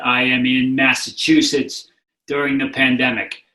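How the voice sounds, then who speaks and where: Monotone and flat, a man with a New England accent speaks at a moderate pace in a fairly high pitch. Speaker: author and addiction recovery advocate. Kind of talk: interview. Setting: remote call.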